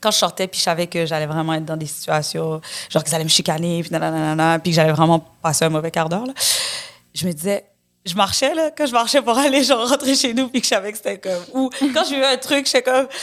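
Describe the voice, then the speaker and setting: Talking at a very fast pace, a woman with a fairly low pitch sounds animated, her pitch swinging very widely. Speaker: actress. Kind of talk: casual chat.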